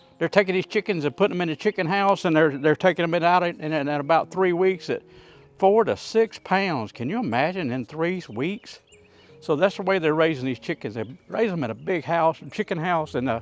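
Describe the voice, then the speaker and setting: Over background music, a man with a high voice and a Southern US accent talks at a fairly quick pace in a relaxed tone, his intonation lively and the sound dry and close with no echo. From US South, North Louisiana. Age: 70s. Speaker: cooking YouTuber. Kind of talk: casual cooking tutorial. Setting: outdoors, backyard grill. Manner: relaxed, folksy with many fillers.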